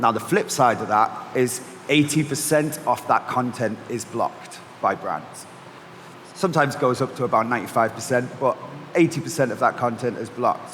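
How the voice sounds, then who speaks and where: With noticeable background noise around him, a man speaks at a moderate pace with fairly even intonation. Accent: Mancunian. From Manchester, northern England. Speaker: agency founder and panel moderator. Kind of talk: panel discussion.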